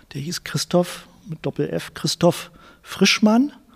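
A high-pitched man at a very slow pace, his voice dry and close with no echo. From Berlin (West Berlin, Charlottenburg). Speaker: journalist and author. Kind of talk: interview. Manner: halting, many repetitions and fillers.

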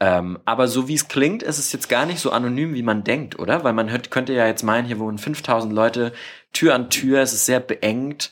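This is a man with a normal speaking voice. He talks at a moderate pace at a medium pitch. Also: ordinary pitch variation. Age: 20s. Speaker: podcast host. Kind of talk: interview. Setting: guest's family living room.

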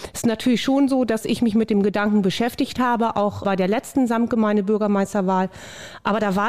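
A woman talks at a fairly quick pace in a normal speaking voice with a fairly high pitch. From Lower Saxony, Barnstorf. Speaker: mayoral candidate. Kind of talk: candidate interview.

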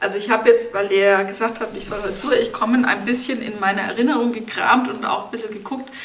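A woman at a fairly high pitch with fairly even intonation and big swings in loudness, amid noticeable background noise and audible room echo. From Germany, Lower Franconia (Rhön, Bavaria). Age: 30s. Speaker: biosphere reserve administrator, geographer. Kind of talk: interview.

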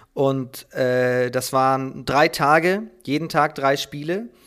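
Lively intonation marks this man's speech, captured on a very clean recording with a silent background. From Schleswig-Holstein, northern Germany. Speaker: handball commentator and journalist. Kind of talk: casual interview. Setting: at his desk at home.

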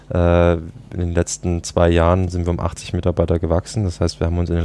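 A man's very deep, low voice at a fairly quick pace, with noticeable background noise. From Saxony, Dresden. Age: 20s. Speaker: team and organisation developer. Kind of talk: casual interview. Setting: outdoors on a balcony.

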